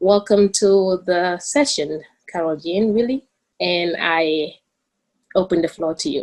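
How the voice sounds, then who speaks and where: A woman with a Gambian accent speaks at a medium pitch with ordinary pitch variation. Her pace is fairly slow, broken by long, frequent pauses. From The Gambia. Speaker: student moderator. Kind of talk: panel introduction.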